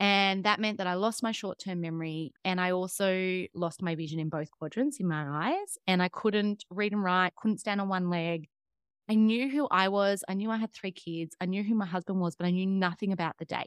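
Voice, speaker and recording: In an Australian accent, a woman of medium pitch speaks at a moderate pace with ordinary pitch variation against a quiet background. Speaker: fitness coach and trauma counselor. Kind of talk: interview.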